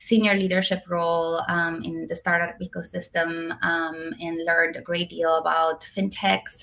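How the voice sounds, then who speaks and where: A woman talks fairly slowly in a fairly low pitch, her tone bright and sharp. The recording is very clean, with a silent background. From Romania. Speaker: tech executive. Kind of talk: interview. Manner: hesitant, many fillers.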